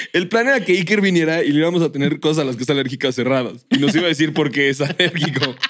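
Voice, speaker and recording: A man speaks very fast in a Mexican accent, with hardly any pauses. His pitch is fairly high, with ordinary variation. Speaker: podcast co-host. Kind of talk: casual chat.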